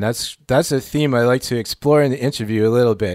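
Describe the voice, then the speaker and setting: In a very clean recording with a silent background, a man with an unremarkable speaking voice talks at medium pitch with ordinary pitch variation. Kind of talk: casual radio interview. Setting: radio studio.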